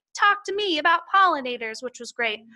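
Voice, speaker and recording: Raised and projected, a woman's voice races at a very fast pace with an extremely high pitch, very wide pitch swings and a bright, sharp tone. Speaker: horticulture educator. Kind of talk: conference presentation. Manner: animated.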